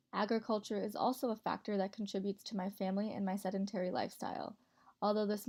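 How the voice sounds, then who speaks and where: Monotone, flat intonation runs through this somewhat breathy voice with an American accent. The delivery comes at a very fast pace. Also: woman. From Montana, US. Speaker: college student. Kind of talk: class presentation voiceover. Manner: read from script.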